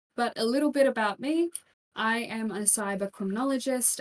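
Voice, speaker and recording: A woman's voice with an Australian accent and ordinary pitch variation. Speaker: keynote speaker, criminologist. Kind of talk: keynote talk. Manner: animated.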